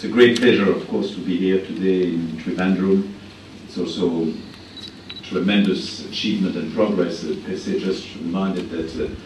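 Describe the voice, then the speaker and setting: Audible room echo and noticeable background noise fill the recording. The speaker's intonation is fairly even. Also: man, very deep, low pitch for a man, moderate pace. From France. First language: French. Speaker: international organization advisor, keynote speaker. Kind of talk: keynote speech. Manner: halting, many fillers.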